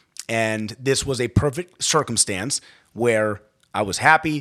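With an American accent, a man speaks in an ordinary speaking voice at medium pitch with ordinary pitch variation, on a very clean recording with a silent background. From Maryland, Baltimore County. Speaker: healthcare executive in addiction recovery. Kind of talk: personal testimony in interview.

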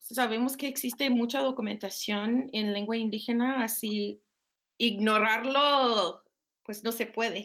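A woman's fairly high voice at a fairly slow pace, with fairly even intonation, on a very clean recording with a silent background. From Minnesota, US. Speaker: professor. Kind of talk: interview. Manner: halting.

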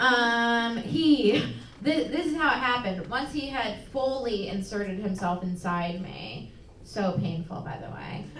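A woman with a fairly high pitch talks at a fairly slow pace, her intonation lively and her loudness swinging widely. Audible room echo and noticeable background noise surround her voice. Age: 20s. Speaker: comedian. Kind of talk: live storytelling.

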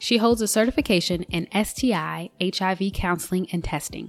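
In a very clean recording with a silent background, a woman talks at a fairly quick pace in an ordinary speaking voice, with medium pitch and ordinary pitch variation. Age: 30s. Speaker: podcast host. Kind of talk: casual interview; scripted introduction.

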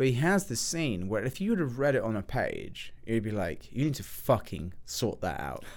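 A man with an English accent, vocal fry and very wide pitch swings, at a moderate pace with hardly any pauses. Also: medium pitch for a man. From England. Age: 30s. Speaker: film student. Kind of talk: casual chat.

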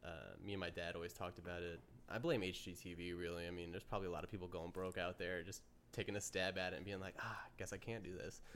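Using monotone, flat intonation, a man with an American accent and a very deep, low pitch speaks at a very fast pace. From upstate New York, near Amsterdam. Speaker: podcast host. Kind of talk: casual chat.

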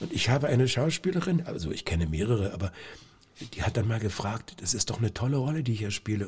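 A man talks in a medium-pitched, somewhat breathy voice. His pitch swings very widely. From Brandenburg, Lower Lusatia (Lieberose near Cottbus). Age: 60s. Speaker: stage actor. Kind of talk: casual interview.

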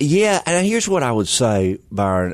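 A man in a Southern US accent speaks with lively intonation. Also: quiet background. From Mississippi, US South. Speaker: pastor. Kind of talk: casual interview chat. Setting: studio.

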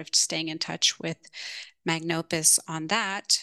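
A woman speaks with a fairly low pitch and a bright, sharp tone. The sound is dry and close with no echo, against a quiet background. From Canada, Toronto. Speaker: UX designer. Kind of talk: interview. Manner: hesitant, many fillers.

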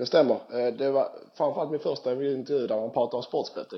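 A man is speaking. His pitch is fairly high. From southern Sweden (Skåne). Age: 30s. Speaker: professional footballer. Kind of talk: casual interview. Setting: Skype call.

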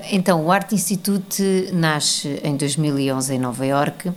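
Her very deep, low voice moves at a fairly slow pace, and this woman's pitch varies in an ordinary way. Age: 40s. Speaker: arts organisation founder. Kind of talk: interview.

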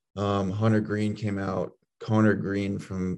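This man has an ordinary speaking voice with a fairly low pitch. His intonation is fairly even. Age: young. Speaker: college baseball pitcher. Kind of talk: interview.

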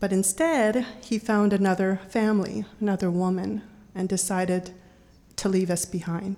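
A woman speaks with an Idaho accent. Her tone is dark and mellow, her loudness very even. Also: medium pitch for a woman, fairly even intonation, moderate pace. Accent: American (Idaho). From Boise, Idaho (born in Laos). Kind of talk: live storytelling. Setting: stage with audience.

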